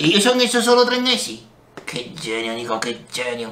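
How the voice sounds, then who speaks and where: Put-on character voice from a man, moderately paced. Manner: excited, boastful.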